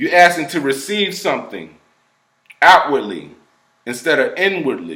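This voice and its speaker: There are long, frequent pauses as a man speaks with audible room echo. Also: moderate pace. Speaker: hypnotherapist. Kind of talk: explanatory talk to camera. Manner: casual conversational.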